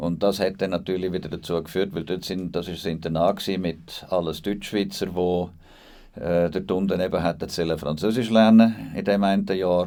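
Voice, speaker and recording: This man's voice is very deep and low, with fairly even intonation. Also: moderate pace. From Liechtenstein, with Bernese childhood roots. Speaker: DJ and charity founder. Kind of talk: podcast interview.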